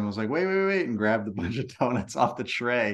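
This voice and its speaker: In a normal speaking voice, a man talks at a fairly quick pace. His pitch is medium and his intonation lively. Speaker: lawn care business owner and podcaster. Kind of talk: casual interview. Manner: repetitive, filler-heavy speech.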